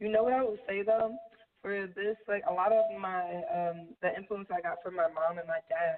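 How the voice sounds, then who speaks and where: This woman talks at a moderate pace in a medium pitch. Her pitch varies in an ordinary way. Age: 20s. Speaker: rapper. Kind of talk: interview. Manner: casual, filler-heavy.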